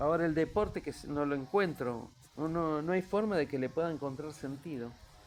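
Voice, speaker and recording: Fairly high male voice at a moderate pace, ordinary pitch variation, music in the background. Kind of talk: casual interview conversation.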